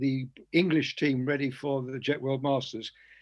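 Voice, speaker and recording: Flat, monotone intonation carries speech at a fairly slow pace. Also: man. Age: 80s+. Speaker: model aircraft competition judge. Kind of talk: casual chat. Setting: video call.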